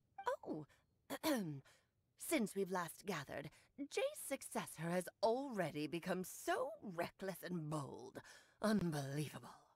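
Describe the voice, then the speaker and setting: Using a put-on character voice at a medium pitch, a woman speaks at a fairly slow pace with long, frequent pauses. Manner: imitating an old woman's speech.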